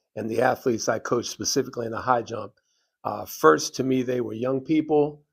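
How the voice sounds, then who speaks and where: The delivery is moderately paced. Vocal fry runs through the voice. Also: man. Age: 70s. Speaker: track and field coach, hall of fame inductee. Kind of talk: interview.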